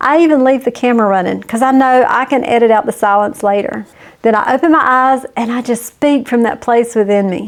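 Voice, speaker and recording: A woman with a high pitch and ordinary pitch variation talks at a fairly quick pace. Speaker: YouTube business coach. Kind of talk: casual talk to camera. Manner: friendly, conversational.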